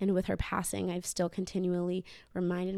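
On a very clean recording with a silent background, a woman with a plain, everyday voice speaks at a moderate pace and a fairly low pitch. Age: 20s. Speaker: former gymnast sharing grief story. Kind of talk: casual interview, personal testimony.

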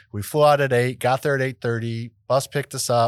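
On a very clean recording with a silent background, a man with an unremarkable speaking voice and an American accent talks at a fairly quick pace with fairly even intonation. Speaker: podcast host, real estate investor. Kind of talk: casual chat.

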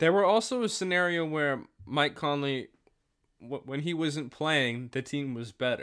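An ordinary speaking voice from a man, fairly high in pitch, with lively intonation and a fairly slow pace, in a very clean recording with a silent background. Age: young. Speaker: student podcast host. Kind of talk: solo review monologue; casual chat.

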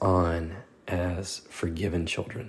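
Somewhat breathy, a man speaks in a very deep, low pitch. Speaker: devotional podcast host. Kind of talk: devotional talk. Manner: hesitant with fillers.

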